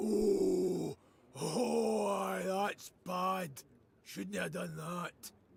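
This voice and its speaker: A man puts on a raspy character voice pitched fairly high. He talks very slowly, with a slight echo. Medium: video game.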